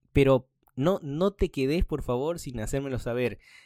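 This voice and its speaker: Dark and mellow, a man's medium-pitched voice moves with lively intonation at a moderate pace. The recording is very clean, dry and close, with a silent background and no echo. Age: 30s. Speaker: podcast host. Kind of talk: casual monologue.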